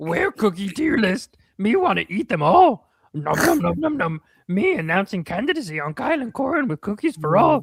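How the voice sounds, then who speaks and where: The put-on character voice is gravelly and fairly high, with very wide pitch swings. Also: moderate pace. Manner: playful, eager.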